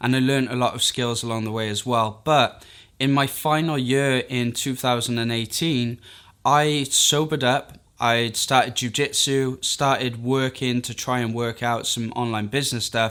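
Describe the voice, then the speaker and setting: With a Welsh accent, a man speaks at medium pitch and a moderate pace, his tone bright and sharp. His intonation is monotone and flat, in a very clean recording with a silent background. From Wales. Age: 30s. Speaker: freelance video editor, YouTuber. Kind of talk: personal story monologue to camera.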